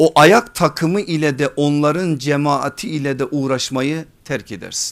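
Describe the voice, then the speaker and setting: A man's plain, everyday voice, fairly high in pitch, at a fairly slow pace, on a very clean recording over a silent background. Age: 40s. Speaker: Islamic preacher and teacher. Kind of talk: religious lecture.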